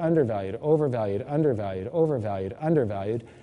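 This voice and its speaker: A man's dark, mellow tone with lively intonation and audible room echo. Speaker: precious metals investment speaker. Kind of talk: lecture.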